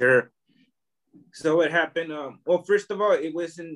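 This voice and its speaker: A fairly slow-paced man with an American accent. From US, Oakland, California. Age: 40s. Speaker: artist and immigration advocate. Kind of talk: interview.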